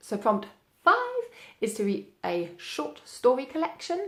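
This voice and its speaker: A woman at a moderate pace. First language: German. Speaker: booktuber. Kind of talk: casual vlog monologue. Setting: home, sitting indoors. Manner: casual with frequent fillers.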